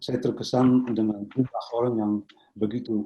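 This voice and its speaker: A man speaks with a Dutch accent. His pace is fairly slow. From Netherlands. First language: Dutch (speaking Indonesian). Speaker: professor. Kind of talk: lecture. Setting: video call. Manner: halting.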